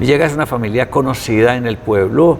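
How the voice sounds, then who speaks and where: Over noticeable background noise, a man talks at a moderate pace and medium pitch. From Colombia, Quimbaya (Quindío). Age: 60s. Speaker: visual artist. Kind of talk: interview.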